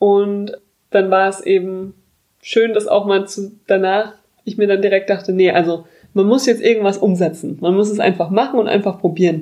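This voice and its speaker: Her voice has a dark, mellow tone as this woman speaks at a medium pitch and moderate pace with fairly even intonation. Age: 20s. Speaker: podcast host. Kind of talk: casual chat.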